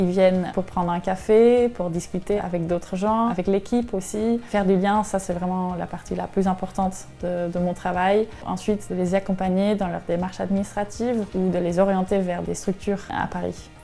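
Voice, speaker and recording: A woman talks at a moderate pace and medium pitch with hardly any pauses. Her intonation stays monotone and flat. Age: 20s. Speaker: shelter reception worker. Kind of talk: interview.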